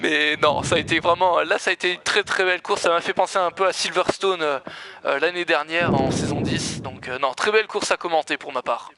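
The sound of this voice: A hoarse put-on character voice talks at a fairly quick pace with ordinary pitch variation, in a dry, close sound with no echo. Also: man, high pitch for a man.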